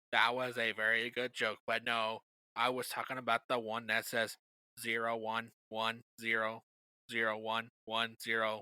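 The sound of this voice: Putting on a robotic character voice, a man speaks at medium pitch and a moderate pace with monotone, flat intonation.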